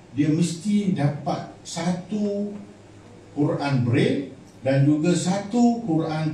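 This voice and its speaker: With audible room echo, a man speaks using lively intonation. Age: 60s. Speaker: charity organization leader. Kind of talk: formal speech at charity event. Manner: halting.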